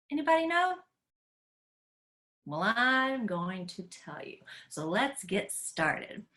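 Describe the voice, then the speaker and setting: A woman with an American accent speaks very slowly at a fairly high pitch in a bright, sharp tone, with very wide pitch swings, big swings in loudness, and long, frequent pauses. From Tennessee, US South. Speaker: educator. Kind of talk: online class for kids. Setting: live video call. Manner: animated.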